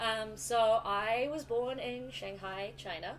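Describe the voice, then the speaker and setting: A woman with a New Zealand accent amid audible room echo. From New Zealand, Auckland. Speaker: musician, classically trained flutist. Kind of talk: casual chat.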